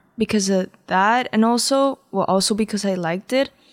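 A woman speaks with a Spanish accent at a medium pitch. Her pitch varies in an ordinary way. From Peru. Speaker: singer. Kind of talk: casual interview.

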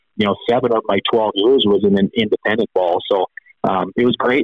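With a Canadian Prairies accent, a man speaks fairly quickly at a medium pitch. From Saskatchewan, Canada. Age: 40s. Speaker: former professional baseball player. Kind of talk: interview.

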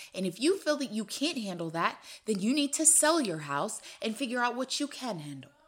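Vocal fry runs through this woman's speech. She talks at a fairly quick pace with very wide pitch swings. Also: fairly high pitch for a woman. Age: 30s. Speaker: podcast co-host. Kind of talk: casual chat.

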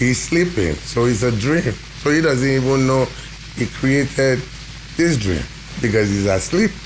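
A man at medium pitch and a fairly slow pace, with long, frequent pauses, lively intonation and very even loudness, over noticeable background noise and audible room echo. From Nigeria, Ibadan. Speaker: musician, bandleader. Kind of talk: casual interview.

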